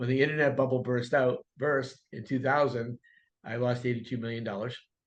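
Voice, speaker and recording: At a moderate pace, a man with an ordinary speaking voice speaks at medium pitch with fairly even intonation over a quiet background. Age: 60s. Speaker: real estate coach and broker. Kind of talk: podcast interview.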